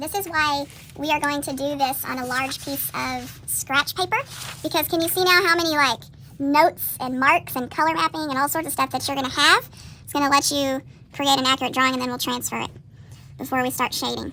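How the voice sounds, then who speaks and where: A woman's high, raised and projected voice, bright and sharp in tone, at a fairly quick pace with fairly even intonation. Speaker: middle school art teacher. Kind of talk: classroom drawing tutorial. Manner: fast.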